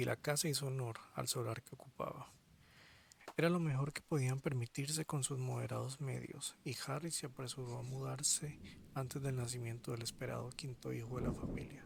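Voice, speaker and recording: Soft-spoken and somewhat breathy, a man talks at medium pitch and a moderate pace with fairly even intonation. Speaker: audiobook reader. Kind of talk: reading aloud.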